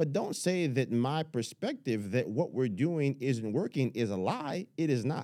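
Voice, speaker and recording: This man has a dark, mellow tone and an American accent. His intonation is lively. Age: 30s. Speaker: Senate candidate. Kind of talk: casual interview. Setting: studio.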